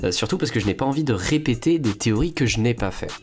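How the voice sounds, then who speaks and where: A man is speaking. Music plays in the background. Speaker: YouTuber. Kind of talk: video commentary. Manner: hesitant, many fillers.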